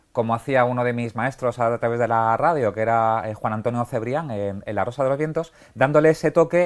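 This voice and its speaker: A man's medium-pitched voice at a moderate pace on a very clean recording with a silent background. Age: 40s. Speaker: podcaster and writer on detective stories. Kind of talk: TV interview. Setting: TV set in a bookshop. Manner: halting with fillers.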